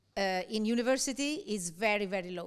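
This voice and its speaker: A woman with an Italian accent talks at a moderate pace, her fairly high pitch showing ordinary variation. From Italy. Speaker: university lecturer. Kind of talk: lecture. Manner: conversational, frequent fillers like okay.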